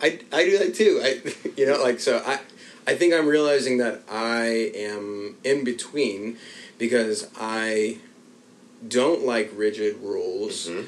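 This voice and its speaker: A man with a normal speaking voice talks at a fairly slow pace, his medium pitch carried by lively intonation. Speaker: podcast host and writer. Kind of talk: casual chat.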